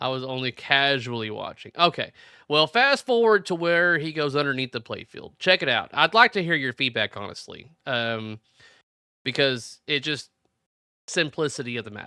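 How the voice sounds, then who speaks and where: A man with a fairly high pitch and a bright, sharp tone talks at a moderate pace with lively intonation and big swings in loudness. The recording is very clean, with a silent background and a dry, close sound with no echo. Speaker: pinball livestream host. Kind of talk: live stream chat reading viewer comments. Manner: casual, halting with repetitions.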